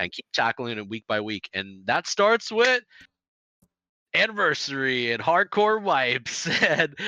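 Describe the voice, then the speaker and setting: A man's fairly high, bright, sharp voice at a fairly slow pace, with very wide pitch swings, big swings in loudness, and a dry, close sound with no echo. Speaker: gaming podcast co-host. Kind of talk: casual chat. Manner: halting.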